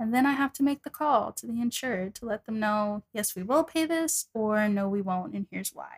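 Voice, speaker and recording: A woman's fairly high voice with an American accent, somewhat breathy, lively in intonation, at a moderate pace with hardly any pauses, in a dry, close sound with no echo. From Texas, Dallas. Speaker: insurance adjuster and singer. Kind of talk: casual interview.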